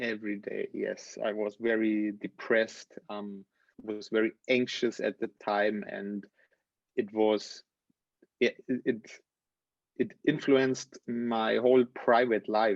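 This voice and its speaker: Speaking at a very slow pace with long, frequent pauses, a man holds a medium pitch and a monotone, flat intonation, the sound dry and close with no echo. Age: 30s. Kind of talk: interview. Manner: halting.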